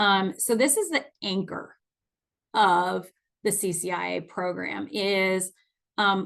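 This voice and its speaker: A woman speaks in an ordinary speaking voice at a medium pitch. Her pitch varies in an ordinary way against a quiet background. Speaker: nonprofit finance executive presenting a webinar. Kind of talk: webinar presentation.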